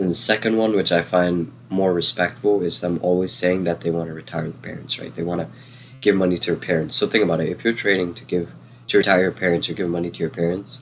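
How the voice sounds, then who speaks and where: A man speaks in a very deep, low pitch. He has a non-native accent. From New Jersey. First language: not English. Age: 20s. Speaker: trading educator. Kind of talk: live Q&A stream. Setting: livestream. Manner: casual, many fillers.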